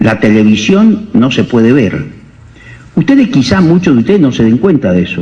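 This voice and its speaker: A man speaks at a moderate pace with very wide pitch swings and very even loudness. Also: medium pitch for a man. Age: 60s. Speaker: doctor. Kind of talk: lecture.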